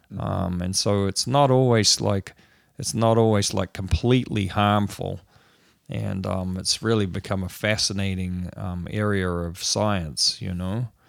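Speaking at a fairly slow pace, a man with a fairly low pitch shows ordinary pitch variation. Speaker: podcast host. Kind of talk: casual conversation about science. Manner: rambling, animated, uses filler words.

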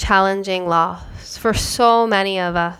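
In a very clean recording with a silent background, a woman speaks at a very slow pace in a gentle, soothing tone. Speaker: podcast host and yoga teacher. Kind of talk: guided meditation. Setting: home recording. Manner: slow, soft, calming, with long pauses.

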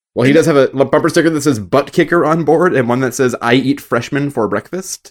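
A man with an ordinary speaking voice talks at a fairly quick pace. His pitch is fairly high, with ordinary variation. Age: 30s. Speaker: podcast co-host. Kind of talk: casual chat.

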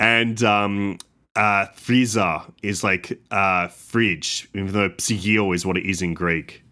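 A man with an Australian accent speaks very slowly in a fairly low voice with a bright, sharp tone and fairly even intonation, in a very clean recording with a silent background. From Sydney, Australia. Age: 20s. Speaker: comedian and podcaster. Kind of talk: casual chat.

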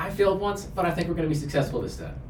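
Very fast talk from a man, noticeable background noise and audible room echo behind it. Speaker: university staff and club advisor. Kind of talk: interview.

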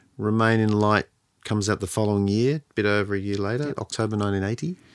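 This man speaks with an Australian accent at a moderate pace and a fairly low pitch. The sound is dry and close, with no echo. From Sydney, Australia. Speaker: podcast host. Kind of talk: casual podcast discussion.

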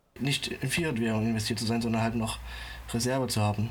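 Delivered at a fairly quick pace, the voice holds a monotone, flat intonation. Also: man. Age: 20s. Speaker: finance social media creator and public sector employee. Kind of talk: casual interview. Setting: remote internet recording.

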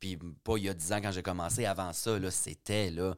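A man with an ordinary speaking voice and a fairly low pitch talks at a moderate pace on a very clean recording with a silent background. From Quebec, Richelieu valley. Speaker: comedian and drag queen. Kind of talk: casual chat.

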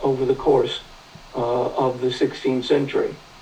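A man with an American accent talks at a fairly slow pace. Background noise is noticeable. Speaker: history professor. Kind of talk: interview. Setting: video call. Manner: halting.

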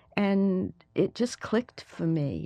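A woman talks with a Southern US accent. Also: quiet background. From US South, Mobile, Alabama. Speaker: history professor. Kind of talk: interview.

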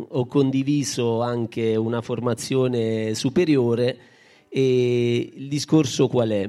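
A man's dark, mellow voice at medium pitch, very slow pace and fairly even intonation. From Basilicata, Italy (Baragiano). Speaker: association president. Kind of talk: public speech at event. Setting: outdoor stage in town square.

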